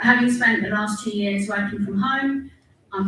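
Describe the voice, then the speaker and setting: A woman at a moderate pace with fairly even intonation, audible room echo and noticeable background noise. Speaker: council staff member. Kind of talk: council meeting speech. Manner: loud.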